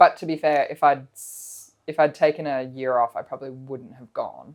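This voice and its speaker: In a very clean recording with a silent background, a woman with an Australian accent talks at a moderate pace in a very deep, low voice, her intonation monotone and flat and her loudness swinging widely. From Australia, Melbourne. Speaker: wine importer. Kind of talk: casual chat.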